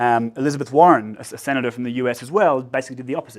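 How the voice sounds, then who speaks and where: Speaking at a very fast pace, a man with an Australian accent keeps his voice at a medium pitch. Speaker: researcher. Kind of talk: lecture. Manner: hesitant, many fillers.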